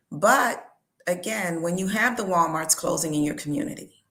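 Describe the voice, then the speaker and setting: A woman's medium-pitched voice carries audible room echo. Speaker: seasoning business owner. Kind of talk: casual interview.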